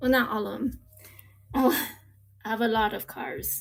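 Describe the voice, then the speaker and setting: Speaking at a fairly slow pace, a woman talks with an East Coast accent. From US East Coast, Virginia Beach. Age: 40s. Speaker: live-stream seller of diecast cars. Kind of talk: live-stream sales chat. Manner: animated.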